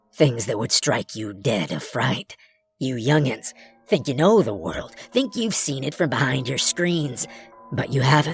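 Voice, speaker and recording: The speaker uses a gruff, put-on character voice. Faint music plays in the background. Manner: stern, warning.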